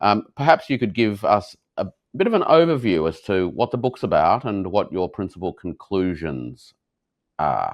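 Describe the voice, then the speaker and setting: A man speaks in an Australian accent at a moderate pace. His fairly low pitch swings very widely. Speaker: interview host. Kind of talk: interview. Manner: hesitant fillers.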